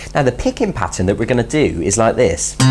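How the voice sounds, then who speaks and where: Noticeable background noise accompanies a voice moving along at a fairly quick pace. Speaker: guitar teacher. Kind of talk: tutorial. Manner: fast.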